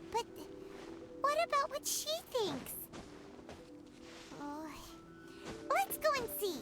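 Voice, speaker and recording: Over clear music in the background, a put-on character voice speaks at a moderate pace. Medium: video game. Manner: chatty, lively.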